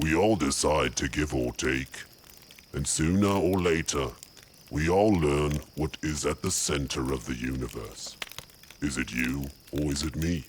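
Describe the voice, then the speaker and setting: A man puts on a character voice with a very deep, low pitch. He keeps a moderate pace, broken by long, frequent pauses. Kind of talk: character monologue. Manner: calm, welcoming.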